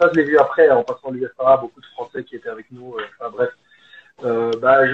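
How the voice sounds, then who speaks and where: Medium-pitched male voice at a fairly quick pace, intonation fairly even. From Belgium, Liège. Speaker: football coach. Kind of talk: casual interview. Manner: hesitant, many fillers.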